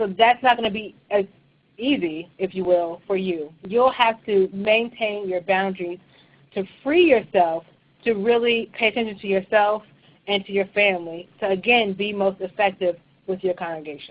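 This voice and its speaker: A woman with an unremarkable speaking voice talks at a moderate pace. Her pitch is medium, with ordinary variation. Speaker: church leadership trainer. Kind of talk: webinar presentation. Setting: online webinar.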